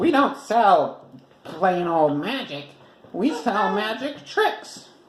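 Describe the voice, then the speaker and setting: A put-on character voice, fairly high in pitch, at a very slow pace with audible echo. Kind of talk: bedtime story. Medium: read story.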